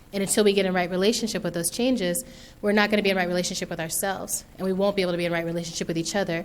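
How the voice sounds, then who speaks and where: At a very fast pace, a woman talks with an American accent. Audible room echo is present. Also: medium pitch for a woman. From US, military environment. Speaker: author and speaker. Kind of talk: keynote talk. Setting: stage with audience. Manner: animated.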